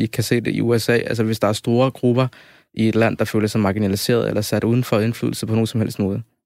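A man's medium-pitched voice at a very fast pace, with monotone, flat intonation and very even loudness, in a dry, close sound with no echo. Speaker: guest debater, student. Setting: studio.

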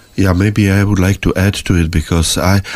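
This man has a Czech accent and a very deep, low pitch. His intonation is fairly even, and there is noticeable background noise. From Czech Republic. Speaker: emigrant sharing life story. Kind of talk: interview testimony. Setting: studio.

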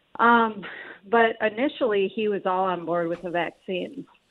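Fairly even intonation and a moderate pace from a woman, in a plain, everyday voice of medium pitch. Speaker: caller. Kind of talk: call-in question. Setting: phone call.

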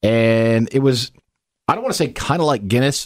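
With an American accent, a man talks in an ordinary speaking voice of medium pitch, his pitch varying in a normal way. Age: 40s. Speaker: podcast co-host. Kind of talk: casual chat.

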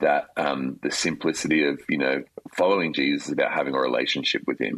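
In an Australian accent, a man speaks at a very fast pace. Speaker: worship leader. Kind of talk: interview.

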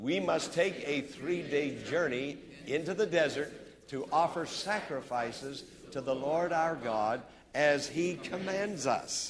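Fairly high in pitch, a man talks at a very slow pace with ordinary pitch variation. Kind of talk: sermon. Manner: animated, call-and-response preaching; emphatic, repetitive.

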